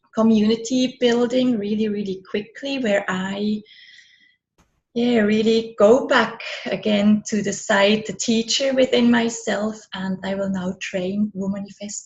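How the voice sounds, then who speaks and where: A woman's fairly high, somewhat breathy voice with a German-speaking European accent, very slow pace and fairly even intonation. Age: 40s. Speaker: business and money coach, author. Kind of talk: interview.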